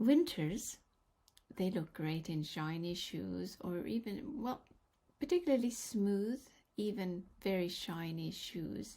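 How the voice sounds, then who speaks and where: A somewhat breathy, dark, mellow voice with a Norwegian accent, at a very slow pace, with lively intonation and long, frequent pauses. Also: woman, medium pitch for a woman. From Norway. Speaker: color analyst. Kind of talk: vlog tutorial.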